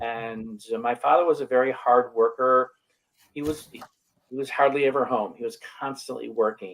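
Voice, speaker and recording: Delivered at a moderate pace, the speech has fairly even intonation. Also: man, medium pitch for a man. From Western New York, near Buffalo. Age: 60s. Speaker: wellness coach. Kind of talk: interview. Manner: halting.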